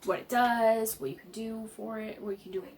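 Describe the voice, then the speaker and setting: A woman's fairly high-pitched voice over noticeable background noise. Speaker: YouTuber. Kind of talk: vlog talk to camera. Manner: halting, many fillers.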